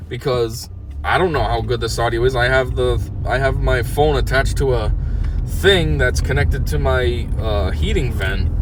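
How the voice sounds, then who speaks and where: A man talks at a moderate speed amid noticeable background noise, with room echo audible. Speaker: podcast host. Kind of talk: casual monologue. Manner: loud.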